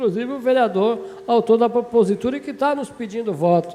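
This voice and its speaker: Noticeable background noise accompanies a man with a high pitch and lively intonation. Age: 60s. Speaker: city councillor. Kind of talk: legislative debate speech. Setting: municipal council chamber session.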